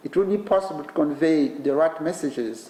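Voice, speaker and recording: A man speaks at a fairly high pitch. Noticeable background noise runs underneath. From Eastern DR Congo. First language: Kinande. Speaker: professor giving keynote. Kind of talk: lecture. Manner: formal.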